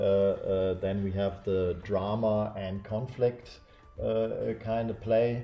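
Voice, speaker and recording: With a German accent, a man speaks at a very slow pace in a monotone, flat way. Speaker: larp event game director. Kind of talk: casual discussion livestream. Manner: halting, many fillers.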